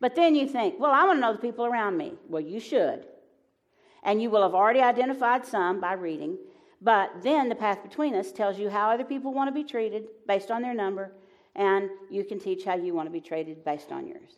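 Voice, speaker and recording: A woman with a fairly high pitch, very wide pitch swings and a fairly quick pace, in a Southern US accent. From US South. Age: 70s. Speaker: Enneagram teacher and author. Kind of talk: live onstage conversation. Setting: stage with audience.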